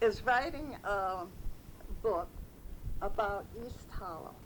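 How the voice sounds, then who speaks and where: Lively intonation marks this woman's very slow delivery. Room echo is audible. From upstate New York, Petersburgh. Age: 80s+. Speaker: oral history interviewee. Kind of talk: oral history reminiscence.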